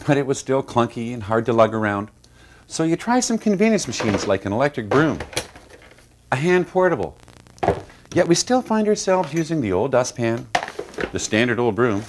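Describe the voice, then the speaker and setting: A man speaks at a fairly quick pace with very wide pitch swings and long, frequent pauses. Noticeable background noise runs underneath. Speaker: company founder presenting product. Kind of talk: TV infomercial product pitch. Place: studio. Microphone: lapel.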